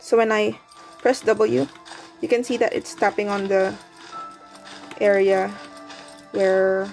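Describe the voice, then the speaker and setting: A woman talks at a moderate pace with music in the background. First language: not English. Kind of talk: tutorial talk to camera. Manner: hesitant, many fillers; quiet, held-down voice.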